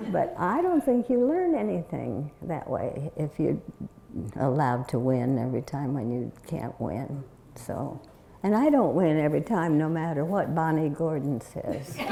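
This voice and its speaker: With an American accent, the speaker has a dark, mellow tone, very wide pitch swings and a fairly slow pace. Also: woman, very deep, low pitch for a woman. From US Pacific Northwest (Oregon, Longview, Washington). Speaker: community elder, bishop's widow. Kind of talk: interview before an audience, storytelling. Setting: stage with audience. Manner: halting.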